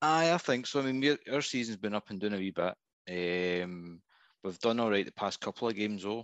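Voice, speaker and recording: The speaker talks fairly quickly in a Scottish accent with ordinary pitch variation. The sound is dry and close with no echo, against a quiet background. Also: man. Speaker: football fan caller. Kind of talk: casual chat. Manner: halting.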